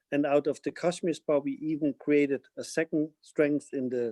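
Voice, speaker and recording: A man's fairly high-pitched voice with a German accent, dark and mellow in tone, at a moderate pace, recorded dry and close with no echo. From Germany, Bavaria (Munich). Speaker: fashion company CEO. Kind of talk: webinar interview.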